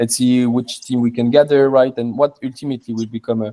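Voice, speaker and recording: Speaking with a French accent, a man at medium pitch has a dark, mellow tone. His pace is moderate and his intonation fairly even. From southern France. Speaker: crypto mining company co-founder. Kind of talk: interview. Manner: halting, many repetitions and fillers.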